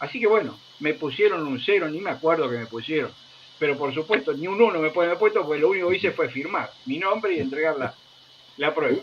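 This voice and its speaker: Against noticeable background noise, a man talks very fast at a fairly high pitch with lively intonation. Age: 70s. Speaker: retired army officer. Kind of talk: interview conversation.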